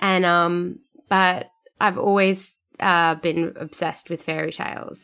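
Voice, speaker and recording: Someone with an Australian accent talks at a fairly slow pace with ordinary pitch variation, in a very clean recording with a silent background. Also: woman. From Sydney, Australia. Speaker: writer, performer and podcaster. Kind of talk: casual interview chat. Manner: laughs often.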